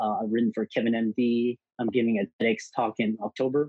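A man with an American accent speaks in an ordinary speaking voice at a medium pitch. His pace is moderate and his intonation fairly even. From US South, Houston, Texas. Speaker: physician and entrepreneur. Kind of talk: interview.

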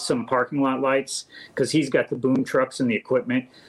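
A man with a plain, everyday voice and an American accent talks at a fairly quick pace in a fairly high pitch. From US Midwest, St. Charles, Missouri. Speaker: electrical contractor. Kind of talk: interview.

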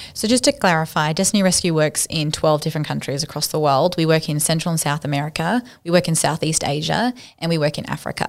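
On a very clean recording with a silent background, a woman with an Australian accent speaks at a fairly low pitch and fairly quick pace, her pitch varying in an ordinary way. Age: 30s. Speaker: charity worker against human trafficking. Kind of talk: interview.

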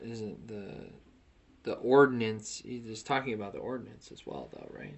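Ordinary pitch variation and a fairly quick pace in an ordinary speaking voice. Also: man. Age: 20s. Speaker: podcast co-host. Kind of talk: casual religious discussion.

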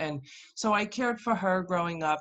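Her pitch rises and falls in an ordinary way as a woman talks, with a quiet background behind her. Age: 50s. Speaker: health coach. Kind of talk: interview.

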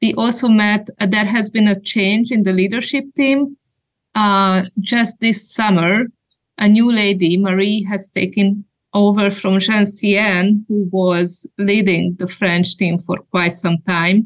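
A woman at a medium pitch delivers her words very slowly, her intonation staying fairly level. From Hungary. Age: 40s. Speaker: women's ministry trainer. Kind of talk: interview.

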